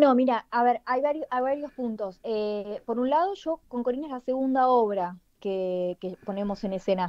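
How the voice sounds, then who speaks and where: Lively intonation from a high-pitched woman at a moderate pace, with hardly any pauses. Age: 30s. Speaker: playwright. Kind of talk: radio interview.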